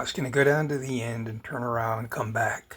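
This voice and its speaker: Through noticeable background noise, a man talks at a fairly quick pace with a medium pitch and ordinary pitch variation. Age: old. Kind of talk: casual drone video narration. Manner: hesitant, rambling.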